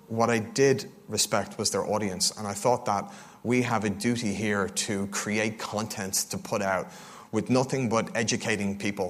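A man with an Irish accent, fairly low in pitch, at a moderate pace with fairly even intonation. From Ireland, Dublin. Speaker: crypto fund co-founder. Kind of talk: conference talk. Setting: stage with audience.

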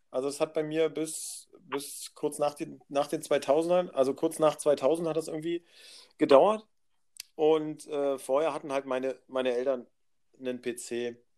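At a fairly slow pace, a man with a fairly high pitch speaks in a dark, mellow tone and fairly even intonation. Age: 30s. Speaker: podcast guest. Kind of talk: casual chat.

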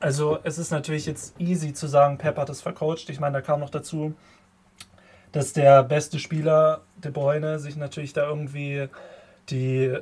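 The voice is somewhat breathy, delivered at a moderate pace in a flat monotone. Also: man. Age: 20s. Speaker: student podcast co-host. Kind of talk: casual sports chat. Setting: video call.

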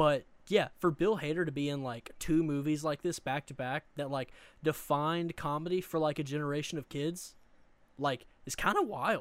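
A man in a Southern US accent at a fairly high pitch, moderate pace and fairly even intonation, on a very clean recording with a silent background. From US South, Eastern Arkansas. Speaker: podcast co-host. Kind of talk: casual chat.

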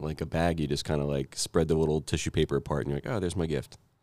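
Very fast speech comes from a man with a very deep, low pitch. His tone is dark and mellow, with vocal fry. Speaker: podcast host. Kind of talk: casual chat.

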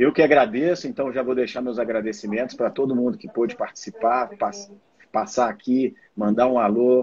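A man speaks at a moderate pace with a medium pitch. He has an unremarkable speaking voice. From Brazil, Minas Gerais (Belo Horizonte). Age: 40s. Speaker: mountaineer and systems analyst. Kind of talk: live stream interview.

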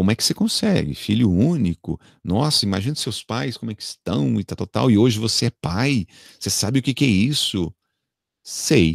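With vocal fry and lively intonation, a man talks at a moderate pace, the sound dry and close with no echo on a very clean recording with a silent background. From Brazil, São Paulo. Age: 40s. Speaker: radio announcer and TV presenter. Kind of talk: casual interview.

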